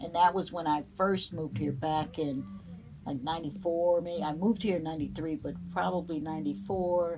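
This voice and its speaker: A woman with a northern US accent and a fairly low pitch speaks at a moderate pace with lively intonation. Music plays in the background, and room echo is audible. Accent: northern US accent, still noticeable. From New Jersey. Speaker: vintage boutique owner. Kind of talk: interview. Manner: halting, many fillers.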